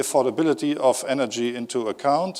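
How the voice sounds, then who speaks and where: Moderately paced male speech in a German accent, with ordinary pitch variation. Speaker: company executive. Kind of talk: conference talk. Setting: stage with audience. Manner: hesitant with fillers.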